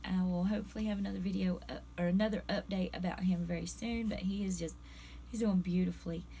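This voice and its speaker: Room echo is audible as a woman talks at a fairly quick pace. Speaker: pet fish vlogger. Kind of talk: casual vlog talk. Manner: conversational, halting.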